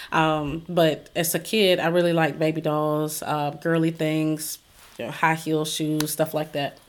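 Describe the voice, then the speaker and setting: Very deep and low, a woman's voice comes with a Southern US accent, a fairly slow pace and monotone, flat intonation. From South Carolina. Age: 40s. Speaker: book publisher and author. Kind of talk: interview.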